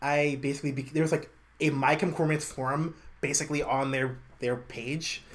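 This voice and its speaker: This man has an American accent and a fairly high, somewhat breathy voice. He speaks at a moderate pace with monotone, flat intonation. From New York City (Brooklyn). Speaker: podcaster, former college radio host. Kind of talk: casual interview.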